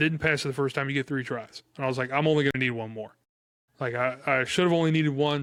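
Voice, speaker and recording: At a very fast pace, a man talks in a fairly high pitch. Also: fairly even intonation. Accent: American. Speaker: firefighter. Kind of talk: casual chat. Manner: loud.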